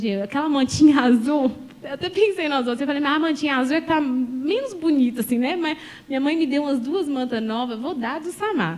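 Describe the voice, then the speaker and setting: A woman talks very fast in a high pitch with a lively, animated delivery. Noticeable background noise sits behind her. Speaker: pastor. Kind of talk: sermon.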